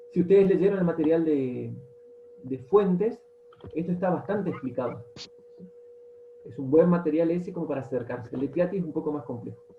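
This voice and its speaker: The speaker talks at a fairly quick pace but with long, frequent pauses, over noticeable background noise. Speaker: teacher. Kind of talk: lecture. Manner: fast. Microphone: audio cutting out.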